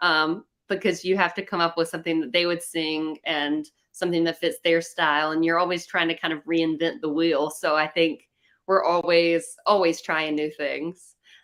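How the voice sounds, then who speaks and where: A woman with a Southern US accent speaks at a moderate pace in a fairly low pitch, her intonation monotone and flat. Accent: Southern American. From North Carolina. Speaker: country singer-songwriter. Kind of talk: interview answer.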